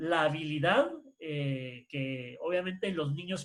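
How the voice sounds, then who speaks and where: Here a man speaks in a plain, everyday voice at a fairly high pitch. He keeps a fairly slow pace with ordinary pitch variation. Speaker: workshop presenter on education. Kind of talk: online workshop lecture.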